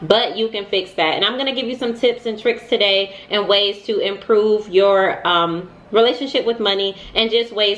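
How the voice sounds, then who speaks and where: Here a woman speaks at medium pitch. Her pitch variation is ordinary. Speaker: money vlogger. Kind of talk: casual advice vlog. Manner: fast.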